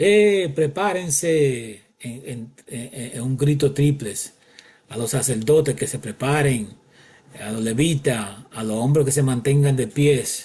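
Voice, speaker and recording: Speaking at a very slow pace, a man with a fairly high pitch shows big swings in loudness and ordinary pitch variation. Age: 60s. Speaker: bible teacher. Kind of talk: bible teaching monologue. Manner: halting.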